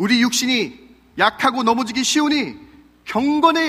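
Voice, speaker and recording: A man with a bright, sharp tone. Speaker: pastor. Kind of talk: sermon. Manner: fast.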